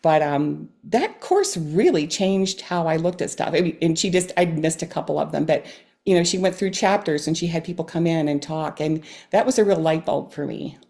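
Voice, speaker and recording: The voice has a dark, mellow tone with vocal fry. Its intonation stays fairly even. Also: woman, fairly low pitch for a woman. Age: 60s. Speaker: amateur clarinetist and retired nurse practitioner. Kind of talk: casual interview.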